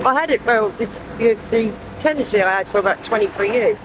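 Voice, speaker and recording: A woman with a southern English accent and ordinary pitch variation, over noticeable background noise. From southern England, Southampton. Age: 40s. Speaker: homeless person. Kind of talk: street interview. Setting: outdoors on the street. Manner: halting, many fillers.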